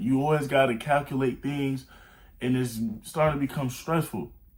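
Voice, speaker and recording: A man speaks at a medium pitch. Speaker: self-improvement YouTuber. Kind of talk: motivational talk. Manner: fast; animated.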